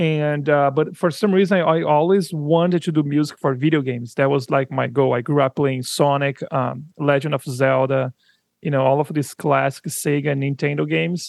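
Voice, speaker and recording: Speaking with a Brazilian accent, a man talks at a moderate pace. His voice is fairly high-pitched, with fairly even intonation. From São Paulo, Brazil. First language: Portuguese. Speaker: audio company founder, musician. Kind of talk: interview conversation. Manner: halting, hesitant.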